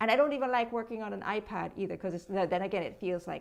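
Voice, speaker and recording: Against a quiet background, a woman talks at a medium pitch with vocal fry and ordinary pitch variation. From Jamaica. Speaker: social media content creator. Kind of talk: interview.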